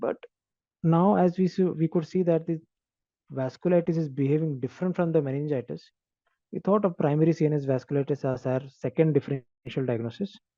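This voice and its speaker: Soft-spoken, a man uses ordinary pitch variation and a dark, mellow tone in a dry, close sound with no echo. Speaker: doctor presenting a case. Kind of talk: case presentation. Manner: halting.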